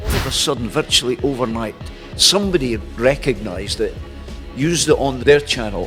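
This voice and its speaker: A man with a Scottish accent talks at a moderate pace while music plays in the background. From Dundee, Scotland. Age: 70s. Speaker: journalist and broadcaster, former amateur boxing champion. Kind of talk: interview answer.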